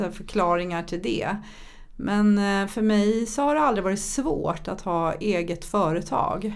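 The speaker is a woman, and she goes rather slowly. Her voice carries audible room echo. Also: medium pitch for a woman, ordinary pitch variation. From Sweden, childhood partly in Thailand. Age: 50s. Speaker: entrepreneur and public speaker. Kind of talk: podcast interview. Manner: animated.

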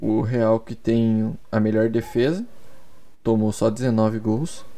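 Pitched at a medium level, this man's voice has a dark, mellow tone. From Curitiba, Brazil. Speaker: sports podcaster. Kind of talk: solo podcast monologue. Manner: casual, hesitant with repetitions.

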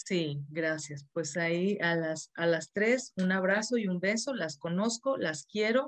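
Against a quiet background, a woman with a fairly low pitch speaks at a very slow pace. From Mexico, Monterrey. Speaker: therapist and course instructor. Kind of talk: live-streamed interview. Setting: video call.

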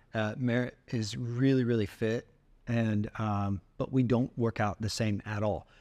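Over a quiet background, a man speaks at a fairly slow pace with fairly even intonation and a dark, mellow tone. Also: medium pitch for a man. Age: 50s. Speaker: faith podcast co-host. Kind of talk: casual chat.

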